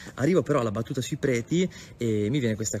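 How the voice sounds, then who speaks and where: Speaking very fast, a man rushes through his words. Music sounds faintly behind him. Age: 20s. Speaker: priest. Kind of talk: video message. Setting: parish youth centre. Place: open country. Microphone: phone near.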